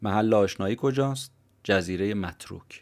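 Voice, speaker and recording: This man has an unremarkable speaking voice with a fairly low pitch and ordinary pitch variation. He goes at a fairly slow pace on a very clean recording with a silent background. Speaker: podcast host summarizing books. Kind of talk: scripted narration.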